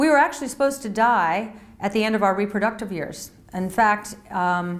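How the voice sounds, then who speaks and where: A woman with a plain, everyday voice speaks at a fairly high pitch with ordinary pitch variation. Her pace is fairly quick. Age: 60s. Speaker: health and wellness author. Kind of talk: casual talk to camera.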